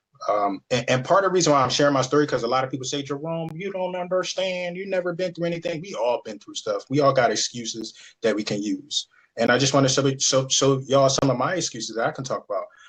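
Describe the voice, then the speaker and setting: A man's very fast, lively voice with a fairly high pitch, somewhat breathy, with an American accent. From Philadelphia, Pennsylvania (South Philly). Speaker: real estate agent and business owner. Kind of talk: webinar presentation. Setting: video call.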